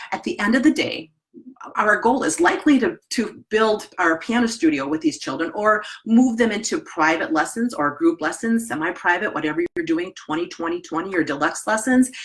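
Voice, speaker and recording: A woman with a Wisconsin accent speaks at a moderate pace, her medium pitch making very wide swings. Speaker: piano teacher trainer. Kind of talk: webinar presentation. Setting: live online webinar. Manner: casual, conversational.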